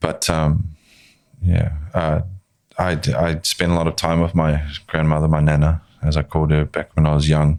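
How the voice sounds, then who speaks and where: Delivered at a moderate pace in a New Zealand accent, the speech has monotone, flat intonation and long, frequent pauses. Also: man, very deep, low pitch for a man. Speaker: filmmaker and actor. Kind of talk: casual chat.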